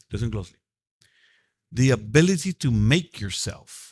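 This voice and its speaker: A somewhat breathy male voice with lively intonation. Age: 60s. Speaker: mentor leading a reentry program class. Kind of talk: motivational class talk. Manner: repetitive, emphatic.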